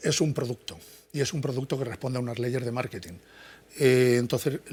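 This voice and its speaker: A man talks at a fairly quick pace in a medium-pitched, somewhat breathy voice. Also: ordinary pitch variation. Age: 60s. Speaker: psychology professor. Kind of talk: interview. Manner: halting, many false starts.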